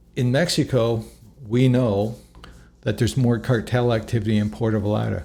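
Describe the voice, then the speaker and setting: A man's fairly low, dark and mellow voice, somewhat breathy, at a moderate pace. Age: 60s. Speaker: travel vlogger. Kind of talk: casual monologue to camera. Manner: halting, with frequent restarts.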